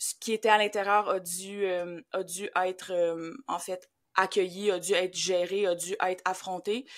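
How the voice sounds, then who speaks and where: A woman speaks in a Quebec accent at a fairly slow pace, medium in pitch with monotone, flat intonation. The recording is very clean, with a silent background. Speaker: grief facilitator. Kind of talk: podcast interview.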